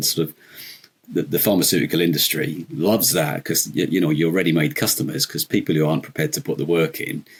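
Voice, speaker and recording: A man talks at a very fast pace with a very deep, low pitch and vocal fry. His intonation is lively. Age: 50s. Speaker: podcast guest. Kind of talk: casual chat. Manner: hesitant, many fillers.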